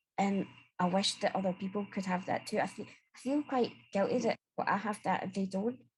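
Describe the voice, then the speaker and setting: A woman's somewhat breathy voice. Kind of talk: casual panel discussion. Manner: clear speaking.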